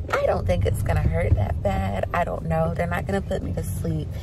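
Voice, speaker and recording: Loud background noise accompanies a woman speaking at a moderate pace with ordinary pitch variation, in a dry sound with no echo. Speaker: family vlogger. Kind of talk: casual vlog chat. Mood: cheerful, upbeat. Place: car. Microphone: phone near.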